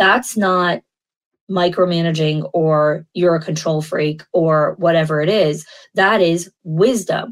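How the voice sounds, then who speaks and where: At a very slow pace, a woman with an American accent speaks at a fairly low pitch, her loudness very even and her intonation fairly even. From New York. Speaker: podcast host, early childhood school leader. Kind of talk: solo podcast monologue.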